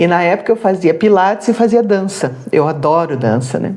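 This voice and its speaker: A woman's medium-pitched voice at a moderate pace over noticeable background noise. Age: 60s. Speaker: retired social worker, jiu-jitsu practitioner. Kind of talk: interview.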